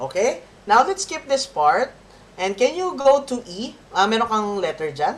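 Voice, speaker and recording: A woman talks at a fairly slow pace. Her fairly high voice moves in very wide pitch swings. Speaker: violin teacher. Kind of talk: masterclass coaching.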